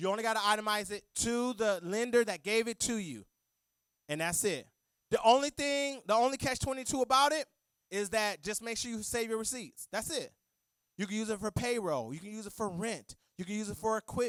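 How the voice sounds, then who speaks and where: A loud, animated man at a high pitch, going at a fairly quick pace. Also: ordinary pitch variation, dry, close sound with no echo. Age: 40s. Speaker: accountant and guest speaker. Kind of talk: church talk on finances.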